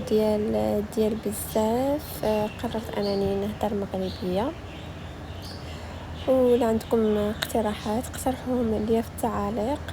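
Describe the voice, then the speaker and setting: A woman talks at a very slow pace. Audible room echo and noticeable background noise surround her voice. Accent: Moroccan. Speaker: cooking vlogger. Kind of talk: cooking tutorial. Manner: casual, hesitant with fillers.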